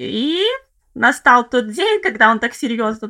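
At a fairly slow pace, a woman speaks with a fairly high pitch, a bright, sharp tone and vocal fry. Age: 30s. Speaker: former city dweller living in a village. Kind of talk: casual interview chat.

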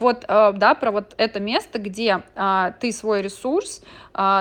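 A woman speaks at medium pitch with ordinary pitch variation. It is an unremarkable speaking voice against a quiet background. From Moscow, Russia. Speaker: gestalt therapist and podcaster. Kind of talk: monologue podcast. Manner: conversational.

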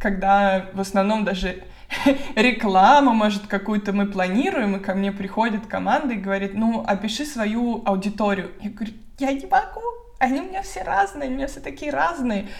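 With audible room echo, the speaker keeps a moderate pace and ordinary pitch variation while the loudness swings widely. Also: woman. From Moscow, Russia. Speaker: blogger and relocation consultant. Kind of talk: casual interview. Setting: online video call.

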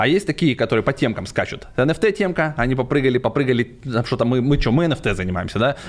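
Lively intonation, very even loudness and a very fast pace. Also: man, medium pitch for a man. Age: 40s. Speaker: crypto entrepreneur. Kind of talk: casual chat. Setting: studio.

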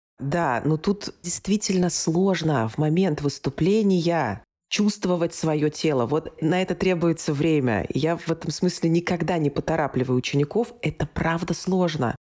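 A woman speaks at a fairly slow pace. Her pitch is fairly low for a woman, with ordinary pitch variation. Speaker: speech coach and actress. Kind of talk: interview, teaching tips.

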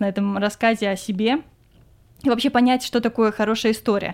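At a moderate pace, a woman talks in a fairly high voice with fairly even intonation. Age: 20s. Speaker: podcast host, film industry worker. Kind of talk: casual chat.

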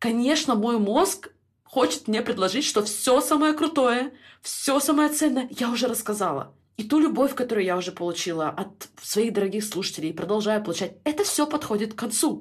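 A woman talks at a fairly high pitch. Her voice makes very wide pitch swings. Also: moderate pace. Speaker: life coach and podcast host. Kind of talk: podcast monologue.

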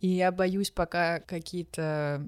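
This woman has an ordinary speaking voice, fairly low in pitch, with fairly even intonation. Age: 20s. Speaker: podcast guest. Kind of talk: casual chat.

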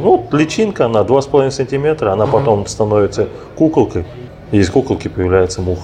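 Music plays in the background. A man talks at a very fast pace with lively intonation. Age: 30s. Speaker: organic fertilizer producer. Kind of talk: interview conversation. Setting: cafe. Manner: halting.

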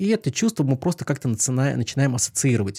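A somewhat breathy man with a dark, mellow tone and lively intonation, at a fairly quick pace, on a very clean recording with a silent background and a dry, close sound with no echo. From Pskov region, Russia. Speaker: former hypnotist, magician, psychologist. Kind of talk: casual chat; card trick demonstration.

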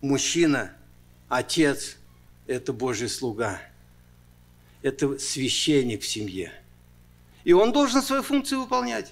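Captured in a very clean recording with a silent background, a man speaks at a very slow pace, his loudness swinging widely and his pauses long and frequent. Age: 60s. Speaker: pastor. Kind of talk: sermon. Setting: church.

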